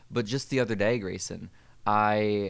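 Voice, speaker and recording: A plain, everyday voice from a man, fairly low in pitch and at a fairly quick pace. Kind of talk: casual chat with a mock guided meditation bit. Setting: podcast recording.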